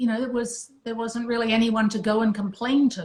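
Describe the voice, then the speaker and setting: A woman speaks in a somewhat breathy, fairly high voice with monotone, flat intonation. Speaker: retired music industry executive. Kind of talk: casual chat.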